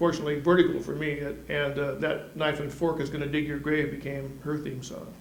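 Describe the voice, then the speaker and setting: Against noticeable background noise and audible room echo, a man talks at a very fast pace. His fairly high voice carries an American accent. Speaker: music columnist. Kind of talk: scripted weekly event roundup. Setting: studio. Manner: wisecracking, animated.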